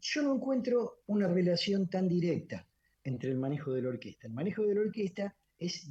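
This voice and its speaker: With a dark, mellow tone, a man speaks at a moderate pace with lively intonation. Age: 70s. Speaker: orchestra conductor and musician. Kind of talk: radio interview. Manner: halting, many fillers and repetitions.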